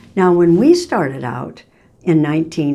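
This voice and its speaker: Audible room echo surrounds a woman speaking at a fairly slow pace in a fairly low pitch with a dark, mellow tone. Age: 80s+. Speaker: vlogger sharing relationship advice. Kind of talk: casual direct-to-camera vlog. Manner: halting, with self-corrections.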